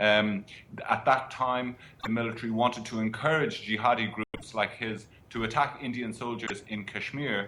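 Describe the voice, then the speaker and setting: A man's moderately paced speech, with fairly even intonation, comes through noticeable background noise. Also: medium pitch for a man. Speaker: foreign correspondent. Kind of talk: interview answer.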